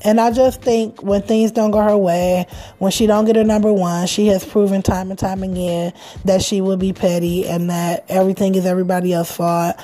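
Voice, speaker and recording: A woman with a medium-pitched voice talks at a fairly quick pace over noticeable background noise. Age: 30s. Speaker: podcast host. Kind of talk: casual chat. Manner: animated.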